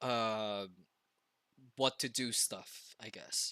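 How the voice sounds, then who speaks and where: Recorded very clean with a silent background, the man's bright, sharp tone comes through dry and close with no echo. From Philippines. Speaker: streamer. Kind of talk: casual livestream chat. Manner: loud.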